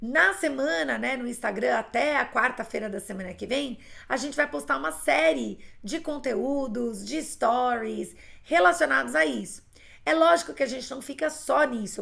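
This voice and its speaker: The tone is bright and sharp, with very wide pitch swings. The pace stays moderate. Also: woman. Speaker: English teacher. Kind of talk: live online class.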